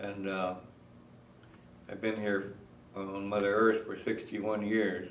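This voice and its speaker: With an American accent, a man speaks at a fairly slow pace and fairly low pitch in a monotone, flat way, leaving long, frequent pauses amid audible room echo and noticeable background noise. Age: 60s. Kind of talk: interview. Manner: halting, many fillers.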